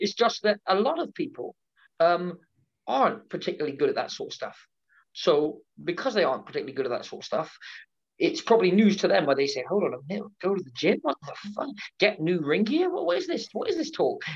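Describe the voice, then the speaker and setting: A man with a West Country accent at a very fast pace. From England, Devon (Exeter). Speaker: pro wrestler and wrestling promoter. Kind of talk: interview.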